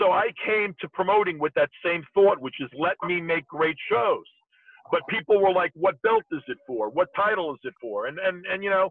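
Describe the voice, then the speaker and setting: Dry with no echo over a quiet background, a man's high-pitched voice shows ordinary pitch variation. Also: moderate pace. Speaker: remote guest. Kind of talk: interview answer. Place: car. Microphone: video call.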